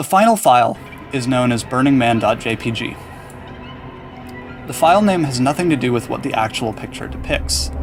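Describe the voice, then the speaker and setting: Music plays behind a man with a medium-pitched voice who speaks at a fairly quick pace in a calm tone, with lively intonation and long, frequent pauses. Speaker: gaming and animation YouTuber reading a story. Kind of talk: creepypasta horror story reading. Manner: calm, measured narration.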